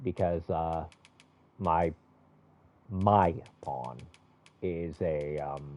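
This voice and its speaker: His pitch is very deep and low, and this man speaks at a very slow pace. Long, frequent pauses break up his speech. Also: ordinary pitch variation. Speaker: video game streamer. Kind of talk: casual gameplay commentary. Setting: live stream. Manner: halting, stutters.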